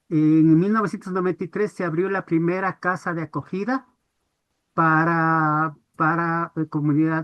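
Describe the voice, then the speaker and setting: A woman speaks slowly, fairly so, in a plain, everyday voice. Her pitch is fairly low and her intonation fairly even. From Ecuador, Quito. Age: 60s. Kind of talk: webinar audience comment.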